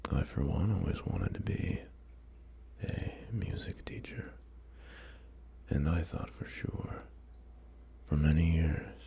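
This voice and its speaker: Whispering very slowly, a man is heard over noticeable background noise. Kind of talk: ASMR positive affirmations. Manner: soft-spoken; slow, rambling.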